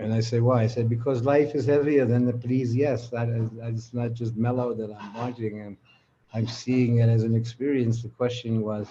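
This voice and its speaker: Somewhat breathy and dark, mellow in tone, a man talks at a medium pitch and a moderate pace. His intonation is monotone and flat. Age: 80s+. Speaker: spiritual teacher. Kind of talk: live conversation, reflective teaching.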